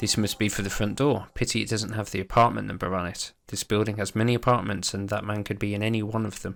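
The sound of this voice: The reading voice is unforced, with intonation that holds fairly even.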